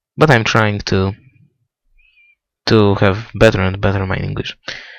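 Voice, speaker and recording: Talking slowly, though only fairly so, this man uses a fairly low voice. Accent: Polish. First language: Polish. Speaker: motorsport video blogger. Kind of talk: race preview commentary. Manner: halting.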